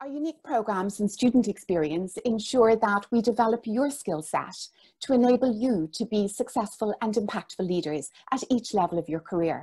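Over a quiet background, a woman speaks at a moderate pace with fairly high pitch, lively intonation, a dark, mellow tone and a somewhat breathy quality. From Ireland. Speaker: business school director. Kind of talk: formal presentation. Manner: formal. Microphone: earbuds.

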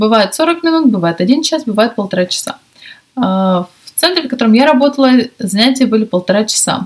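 Against a quiet background, a woman speaks at a moderate pace with very wide pitch swings. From Russia. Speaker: English teacher and video blogger. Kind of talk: casual vlog talk to camera. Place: home room. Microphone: webcam.

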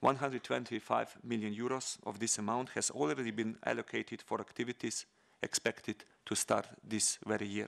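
Intonation stays fairly even as a man talks with vocal fry. The background is quiet. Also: moderate pace. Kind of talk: formal speech. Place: hall. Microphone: podium.

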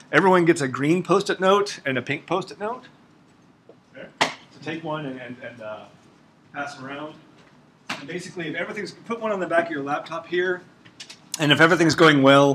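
Someone with an American accent speaks at a moderate pace with ordinary pitch variation, big swings in loudness and long, frequent pauses over noticeable background noise. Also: man. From Oklahoma. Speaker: ecology researcher teaching a workshop; workshop instructor. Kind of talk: workshop lecture. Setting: classroom with audience. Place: classroom.

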